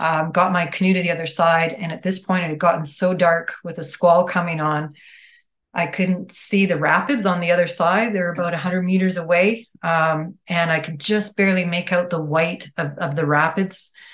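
A woman with a Western Canadian accent, fairly low in pitch, at a moderate pace with fairly even intonation. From Calgary, Alberta, Canada. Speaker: ecologist and environmental planner. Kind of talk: casual interview.

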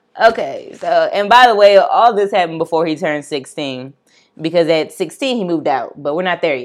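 With lively intonation and a fairly low pitch, a woman talks at a fairly quick pace in an unremarkable speaking voice. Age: 20s. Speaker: true crime podcast host. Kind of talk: casual chat. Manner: laughs often.

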